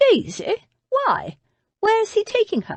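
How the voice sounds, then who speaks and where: A squeaky, put-on character voice speaks at a fairly slow pace. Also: female-sounding voice. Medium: read story. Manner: brisk, decisive.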